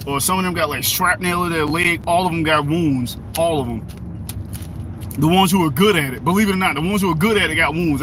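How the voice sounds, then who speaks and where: A man talks at a very fast pace in a high pitch. Noticeable background noise and audible room echo fill the recording. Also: ordinary pitch variation. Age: 30s. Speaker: livestreamer. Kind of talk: casual chat.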